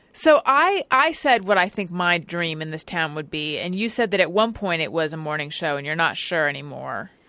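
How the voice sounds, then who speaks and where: Her bright, sharp tone and fairly low pitch mark this woman's voice, which has an American accent, lively intonation and a moderate pace. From Southern California. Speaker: podcast host. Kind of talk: casual chat. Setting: studio.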